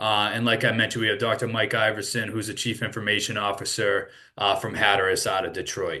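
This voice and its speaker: Talking at a very fast pace with a Boston accent, a man with a fairly low pitch and a bright, sharp tone keeps a monotone, flat intonation against a quiet background. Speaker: sales executive. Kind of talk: webinar presentation. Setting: online webinar with screen share.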